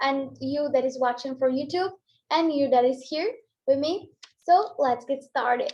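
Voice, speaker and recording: A woman in a Portuguese accent speaks at a moderate pace, her high pitch showing ordinary variation. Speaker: English teacher. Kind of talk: online class.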